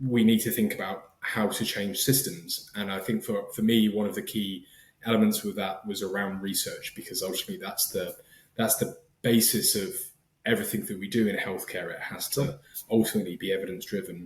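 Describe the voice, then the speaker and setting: Fairly quick speech from a man in an English accent. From southern England. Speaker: startup founder, former physician. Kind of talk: podcast interview. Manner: halting, many fillers and restarts.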